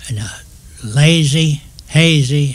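The speaker is a man with a Southern US accent. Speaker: retired railroad worker. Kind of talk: oral history storytelling.

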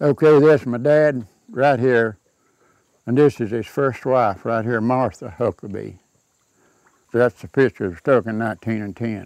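In a Southern Appalachian accent, a man speaks at a fairly slow pace and medium pitch with ordinary pitch variation and long, frequent pauses, the sound dry with no echo against a quiet background. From Southern Appalachia, North Carolina/Georgia mountains. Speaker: local elder sharing family history. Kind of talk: casual interview, reminiscing over old photos. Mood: warm, nostalgic. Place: garden. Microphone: lapel.

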